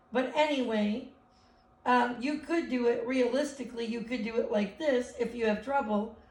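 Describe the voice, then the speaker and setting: Audible room echo surrounds a woman's high-pitched voice, which keeps fairly even intonation at a moderate pace. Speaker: elementary school teacher. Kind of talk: remote math lesson for children. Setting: live video lesson.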